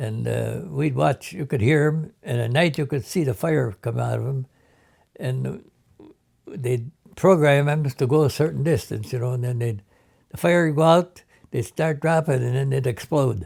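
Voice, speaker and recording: Somewhat breathy, a man speaks at a medium pitch and moderate pace with lively intonation on a very clean recording with a silent background. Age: 80s+. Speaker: war veteran. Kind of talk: oral history interview. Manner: halting.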